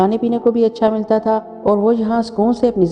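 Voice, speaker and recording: A woman talks while music plays behind her. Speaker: storyteller. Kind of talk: horror story narration.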